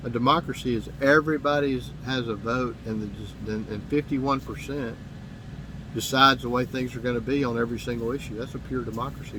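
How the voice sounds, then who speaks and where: In a Southern US accent, a man speaks at a very fast pace with medium pitch and ordinary pitch variation. Audible room echo surrounds his voice. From US South, Mississippi. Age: 50s. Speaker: political commentator. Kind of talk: monologue to camera. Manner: halting, with repetitions.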